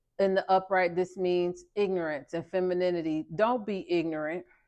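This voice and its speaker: A woman of medium pitch with an American accent, a moderate pace, and a quiet background. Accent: Southern accent, comes out when passionate. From US South. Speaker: tarot and oracle card reader. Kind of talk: spiritual card reading. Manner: animated, emphatic.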